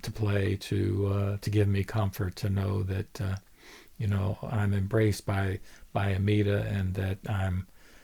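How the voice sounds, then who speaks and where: A man's fairly low, dark and mellow voice, somewhat breathy, in a flat monotone at a fairly slow pace, on a very clean recording with a silent background. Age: 70s. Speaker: lay Buddhist video blogger. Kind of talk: solo dharma talk. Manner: halting, many fillers and repetitions.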